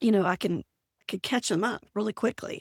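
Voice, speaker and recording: On a very clean recording with a silent background and a dry, close sound with no echo, a woman speaks with vocal fry. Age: 60s. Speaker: productivity coach, retired teacher. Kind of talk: podcast interview.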